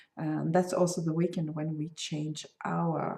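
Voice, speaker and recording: Vocal fry colors speech in a Swedish accent, delivered at a fairly slow pace. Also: woman. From Sweden. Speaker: crochet designer and podcaster. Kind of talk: casual podcast talk. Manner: hesitant, many fillers.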